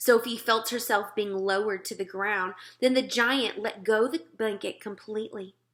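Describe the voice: Plain, straightforward reading aloud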